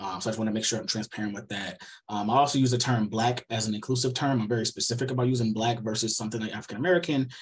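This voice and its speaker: Somewhat breathy and medium in pitch, a man speaks at a very fast pace. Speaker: researcher giving seminar talk. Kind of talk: lecture.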